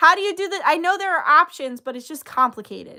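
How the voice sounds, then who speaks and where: Raised and projected, a woman's voice sounds animated, bright and sharp at an extremely high pitch. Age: 30s. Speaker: tarot reader and spiritual channeler. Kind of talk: casual livestream chat.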